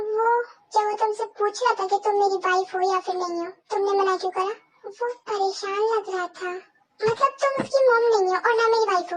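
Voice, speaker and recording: Using a put-on character voice, a woman speaks at a very fast pace with an extremely high pitch and fairly even intonation. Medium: read story.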